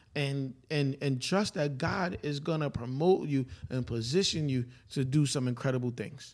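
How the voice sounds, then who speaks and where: A man in a New York accent talks at a moderate pace with a fairly high pitch. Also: ordinary pitch variation. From Brooklyn, New York. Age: 40s. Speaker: preacher. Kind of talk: casual chat.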